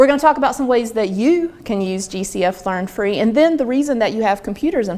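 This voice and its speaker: A woman talks at a fairly quick pace with a Southern US accent. Her pitch rises and falls in an ordinary way. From US South, North Carolina. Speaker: online learning trainer. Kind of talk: workshop presentation. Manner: fast. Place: meeting room.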